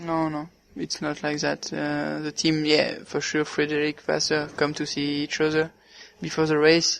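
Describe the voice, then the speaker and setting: A man with a French accent, at a moderate pace. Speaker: racing driver. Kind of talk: interview. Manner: halting.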